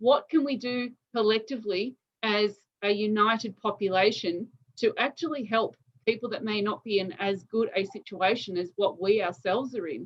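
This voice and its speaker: A woman speaks in an Australian accent at a moderate pace. Her pitch is fairly high, with ordinary pitch variation. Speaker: interviewer. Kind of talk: interview.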